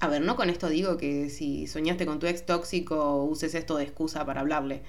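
The speaker has a Rioplatense accent and keeps a moderate pace. Room echo can be heard. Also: woman. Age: 20s. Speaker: podcast host. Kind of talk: solo podcast monologue. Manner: casual, hesitant with fillers.

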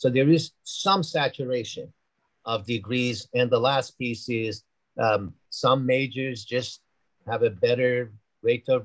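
The speaker has an ordinary speaking voice with ordinary pitch variation. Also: man. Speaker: university dean. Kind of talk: interview conversation.

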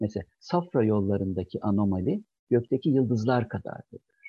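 A somewhat breathy man's voice at medium pitch. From Çankırı, central Turkey. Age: 50s. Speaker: general surgery professor. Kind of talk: interview.

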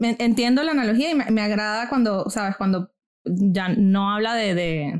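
The pitch is fairly high. A woman is the one speaking. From Venezuela. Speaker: podcast host, guest here. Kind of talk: casual discussion.

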